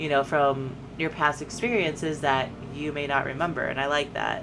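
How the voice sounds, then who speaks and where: Over noticeable background noise, a woman speaks at a moderate pace. Her pitch is very deep and low. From United States. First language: Spanish. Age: 20s. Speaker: streamer. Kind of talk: casual chat.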